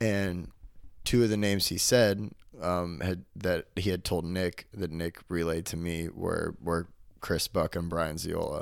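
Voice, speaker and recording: On a very clean recording with a silent background, a man speaks at a fairly slow pace in a very deep, low voice. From Arkansas. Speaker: comedian. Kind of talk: casual chat. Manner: animated.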